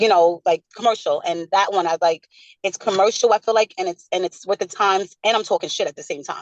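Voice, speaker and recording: A woman with a New York accent, a medium pitch, fairly even intonation and a fairly quick pace. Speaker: rapper. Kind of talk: interview. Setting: video call.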